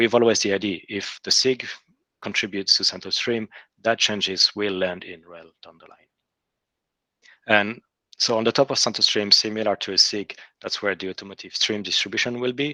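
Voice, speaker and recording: A man with a non-native accent speaks at a fairly quick pace and fairly low pitch, his bright, sharp tone showing big swings in loudness and long, frequent pauses, in a dry, close sound with no echo. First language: not English. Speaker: software engineer presenting to a working group. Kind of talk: technical presentation in an online meeting. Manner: hesitant, many fillers and restarts.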